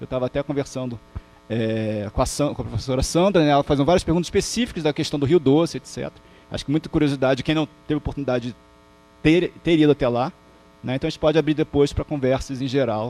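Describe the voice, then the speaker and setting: Recorded dry and close with no echo, a man with a Rio de Janeiro accent talks at a very fast pace in a fairly high pitch with ordinary pitch variation. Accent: carioca accent, noticeable. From Rio de Janeiro, Brazil (Botafogo, Zona Sul). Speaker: professor. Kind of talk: lecture. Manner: halting, many false starts.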